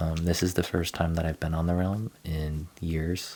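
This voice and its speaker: Soft-spoken, a man with a very deep, low pitch talks at a moderate pace in a monotone, flat intonation. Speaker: gaming streamer. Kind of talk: casual live stream game tour. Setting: live stream. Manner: soft-spoken, talking quietly.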